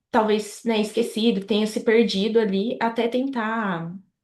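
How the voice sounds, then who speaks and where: A woman talks at a moderate pace with a medium pitch. The background is quiet. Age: 20s. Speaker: medical student. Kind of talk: interview. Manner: hesitant, many fillers.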